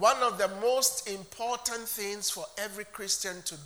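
Through noticeable background noise, a man speaks in an animated tone with a raised, projected voice. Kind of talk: sermon. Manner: animated, call-and-response preaching; emphatic, repetitive, teacherly.

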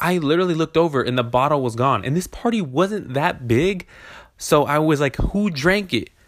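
A man speaks in a plain, everyday voice at a moderate pace, his fairly high pitch moving with lively intonation on a very clean recording with a silent background. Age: 20s. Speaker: podcast host. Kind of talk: casual monologue. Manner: laid-back, rambling with fillers.

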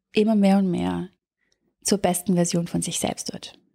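A woman is speaking. The recording is very clean with a silent background and a dry, close sound with no echo. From Germany. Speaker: life coach. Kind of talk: coaching talk. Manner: animated.

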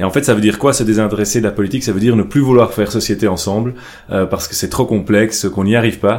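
Very fast delivery with fairly even intonation. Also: man. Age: 30s. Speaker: politician and entrepreneur. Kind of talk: casual interview discussion.

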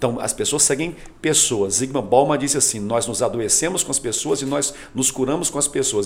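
Moving at a fairly quick pace, a man uses a plain, everyday voice at medium pitch with ordinary pitch variation. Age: 40s. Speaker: pastor and youth leader. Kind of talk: podcast interview.

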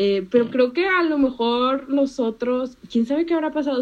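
A woman's voice with a high pitch. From Panama, moved to Monterrey, Mexico at age five. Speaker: economics student. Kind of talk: casual chat.

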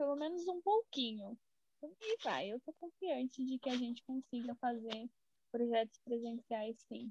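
A woman's voice sits high in pitch. Its tone is dark and mellow. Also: dry, close sound with no echo. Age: 20s. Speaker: biology student, club member. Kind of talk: casual chat.

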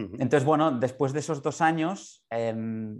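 A man speaks in a normal speaking voice at a moderate pace. His pitch variation is ordinary, and the background is quiet. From Barcelona, Spain. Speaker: concert pianist. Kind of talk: interview.

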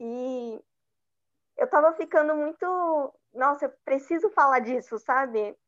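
In a São Paulo accent, a woman with a high pitch and lively intonation talks at a fairly slow pace with long, frequent pauses over a quiet background. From São Paulo, East Zone. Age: 20s. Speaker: journalist and researcher. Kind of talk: interview.

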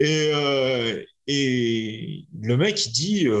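Against a quiet background, a man talks at medium pitch with lively intonation. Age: 40s. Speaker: kettlebell athlete. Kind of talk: casual chat.

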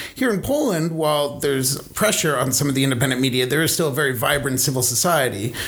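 Over noticeable background noise, a man with an American accent talks at a very fast pace with hardly any pauses, his fairly high pitch showing ordinary variation and his loudness very even. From New York. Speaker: newspaper foreign correspondent. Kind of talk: interview.

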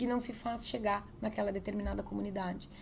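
Talking at a fairly quick pace, a woman speaks with vocal fry. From southern Brazil, interior of Rio Grande do Sul (Getúlio Vargas). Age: 40s. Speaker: state legislator and former police chief. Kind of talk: interview. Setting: politician's office.

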